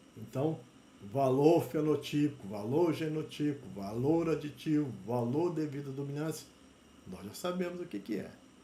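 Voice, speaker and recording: A man's somewhat breathy, dark, mellow voice at a fairly high pitch and moderate pace, with lively intonation and audible room echo. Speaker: university lecturer in plant genetics. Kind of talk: lecture.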